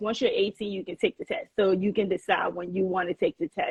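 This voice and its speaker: In a dry, close recording with no echo, a woman with a slight Liberian accent speaks at medium pitch in a somewhat breathy voice. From Liberia (Monrovia), moved to US at 8. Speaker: chef and restaurant owner. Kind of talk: podcast interview. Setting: Instagram live.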